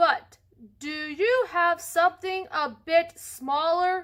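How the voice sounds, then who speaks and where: Putting on a character voice, a woman speaks very slowly at an extremely high pitch with ordinary pitch variation. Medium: read story. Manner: polite, gentle.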